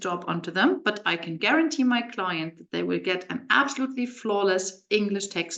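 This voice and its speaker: A woman with a German accent, her fairly high pitch sweeping through very wide swings, bright and sharp in tone, at a moderate pace. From Germany. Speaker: translation agency owner and webinar presenter. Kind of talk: webinar presentation. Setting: live video webinar.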